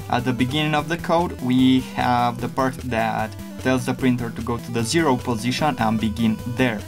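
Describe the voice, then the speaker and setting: Over music in the background, a man with a non-native accent speaks with lively intonation. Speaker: 3D printing hobbyist. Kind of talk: casual tutorial talk to camera.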